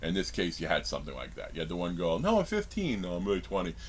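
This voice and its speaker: A man with a very deep, low pitch and vocal fry speaks at a very fast pace. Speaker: horror movie reviewer. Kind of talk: casual video review monologue. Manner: halting, many fillers and restarts.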